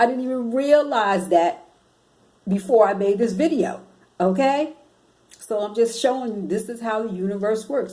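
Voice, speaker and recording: A woman speaks in an ordinary speaking voice, fairly high in pitch, at a moderate pace with ordinary pitch variation. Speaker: spiritual self-help vlogger. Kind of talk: motivational vlog talk.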